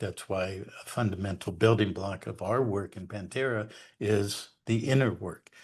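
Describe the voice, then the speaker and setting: A somewhat breathy man with a fairly low pitch, at a moderate pace over a quiet background. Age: 70s. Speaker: researcher and educator on law and history. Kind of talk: interview monologue. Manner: hesitant fillers.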